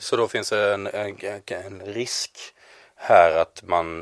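This man's pitch sits fairly low. He keeps his intonation fairly even. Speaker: podcast host. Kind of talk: scripted intro; panel discussion. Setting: studio.

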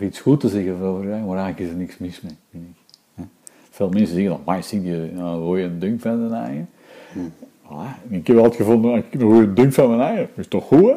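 Pitch rises and falls in an ordinary way. The pace is fairly quick. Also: man. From Antwerp, Belgium. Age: 50s. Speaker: interviewee. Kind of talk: interview.

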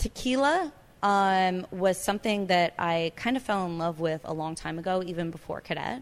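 A plain, everyday voice: a woman with an American accent, medium pitch, ordinary pitch variation and a moderate pace, on a very clean recording with a silent background. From California. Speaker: restaurant and bar owner. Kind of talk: interview. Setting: her bar.

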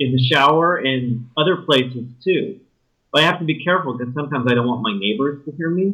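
Here is a man with an ordinary speaking voice and an American accent, pitched fairly high. He talks at a fairly quick pace with lively intonation. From West Texas (El Paso). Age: 50s. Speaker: podcast dating show bachelor, urban planner. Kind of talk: casual interview. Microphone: audio issues.

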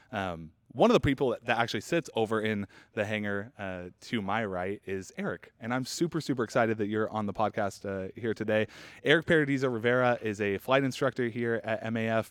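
In a very clean recording with a silent background and a dry, close sound with no echo, a man talks at a fairly quick pace in a normal speaking voice of medium pitch with ordinary pitch variation. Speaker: podcast host. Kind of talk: casual interview chat. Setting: studio near hangar with construction noise. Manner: conversational, filler words.

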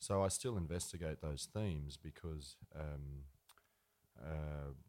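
A man's very deep, low voice in an Australian accent, dark and mellow in tone, with ordinary pitch variation. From rural New South Wales, Australia. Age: 30s. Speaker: singer-songwriter. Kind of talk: interview on stage. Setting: live event with audience.

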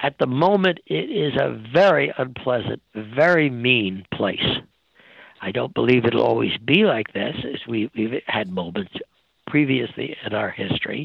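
Very wide pitch swings and vocal fry from a man at a fairly slow pace. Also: medium pitch for a man. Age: 80s+. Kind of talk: interview. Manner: halting.

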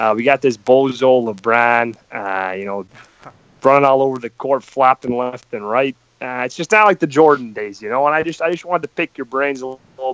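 A man with an American accent speaks in an ordinary speaking voice at medium pitch and a moderate pace, with ordinary pitch variation, big swings in loudness, and a dry, close sound with no echo. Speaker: sports fan caller. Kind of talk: casual chat. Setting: phone call.

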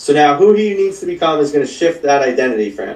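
A man with an unremarkable speaking voice. He talks at a fairly quick pace with ordinary pitch variation. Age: 30s. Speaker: life coach. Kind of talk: casual chat.

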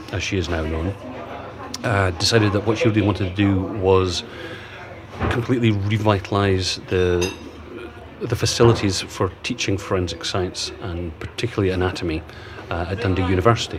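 Against noticeable background noise, a man with a Scottish accent and a very deep, low pitch speaks with fairly even intonation and long, frequent pauses. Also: fairly quick pace. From Aberdeen, Scotland. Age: 50s. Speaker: crime novelist. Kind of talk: casual interview. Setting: in a pub.

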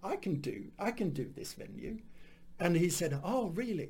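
A man with a Swedish accent talks at a moderate pace, his voice carrying vocal fry. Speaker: stand-up comedian. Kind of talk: casual interview chat. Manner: halting.

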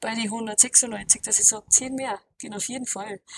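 Speaking in an Austrian accent, a woman has a bright, sharp tone and a fairly high pitch. She keeps a moderate pace and fairly even intonation, the sound dry and close with no echo. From Austria, Alpine region. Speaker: powerlifter and gym owner. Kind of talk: casual interview.

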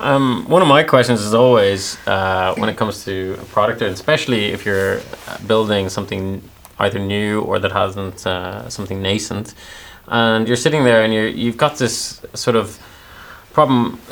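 There is noticeable background noise here. A man talks at a moderate pace, his fairly low pitch varying in an ordinary way. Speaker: podcast co-host. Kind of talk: casual chat. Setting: studio.

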